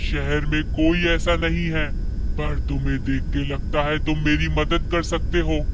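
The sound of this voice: A man performs a cartoonish character voice. Loud background noise runs underneath.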